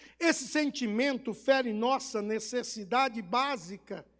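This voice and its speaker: In a Bahian accent, a man speaks very slowly at an extremely high pitch, with ordinary pitch variation. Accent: Bahian Brazilian Portuguese. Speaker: pastor. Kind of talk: sermon.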